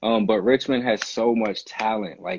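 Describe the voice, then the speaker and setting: In an ordinary speaking voice, a man with an American accent talks at a fairly low pitch with fairly even intonation. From Newport News, Virginia. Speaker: rapper and army musician. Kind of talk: casual interview. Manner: casual, lots of filler words.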